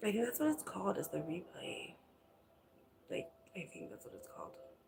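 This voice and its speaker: A woman whispers at a fairly quick pace. Her loudness swings widely. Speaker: vlogger live streaming. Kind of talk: casual live stream chat. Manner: whispering.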